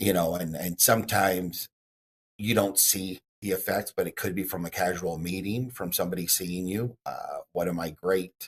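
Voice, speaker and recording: Speaking at a moderate pace with fairly even intonation, a man with an American accent has a very deep, low pitch, and the sound is dry and close with no echo. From Texas. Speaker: real estate broker. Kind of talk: interview.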